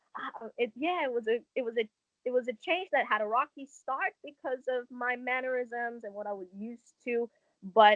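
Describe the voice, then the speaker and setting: At a moderate pace, a woman speaks with an American accent and lively intonation. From Hong Kong. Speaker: dance instructor. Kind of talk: casual chat.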